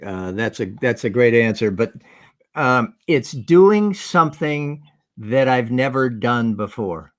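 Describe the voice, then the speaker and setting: A man's plain, everyday voice at medium pitch with an American accent, fairly slow and lively in intonation, in a very clean recording with a silent background. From New Jersey, Jersey Shore. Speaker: farmer, former TV professional. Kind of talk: casual chat.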